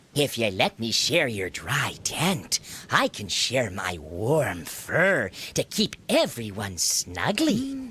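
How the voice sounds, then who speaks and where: The speaker uses a put-on character voice at a low-to-middle pitch and talks at a very slow pace. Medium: read story. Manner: polite, friendly.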